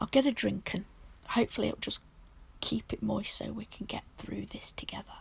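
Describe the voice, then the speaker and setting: Whispering at a moderate pace, the speaker has a British accent. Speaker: nail art creator. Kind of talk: tutorial. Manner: casual, chatty.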